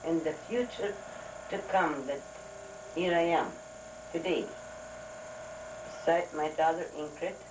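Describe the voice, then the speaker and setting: With audible room echo and noticeable background noise, a woman speaks in fairly even intonation. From Volga German region of Russia. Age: 70s. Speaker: elderly interviewee telling life story. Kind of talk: oral history interview. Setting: family living room.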